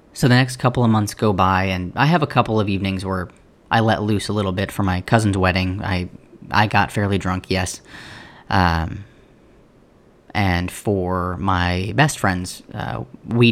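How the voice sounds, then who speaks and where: On a very clean recording with a silent background, a normal speaking voice moves at a moderate pace with ordinary pitch variation. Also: man. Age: 30s. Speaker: podcast host. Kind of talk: personal monologue.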